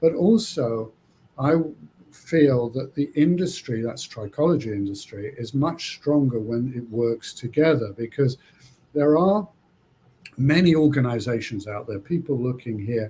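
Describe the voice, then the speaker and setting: A man with a medium pitch speaks at a fairly slow pace, somewhat breathy. His tone is dark and mellow, and his intonation is lively. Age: 60s. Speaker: trichologist. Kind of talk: interview. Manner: halting.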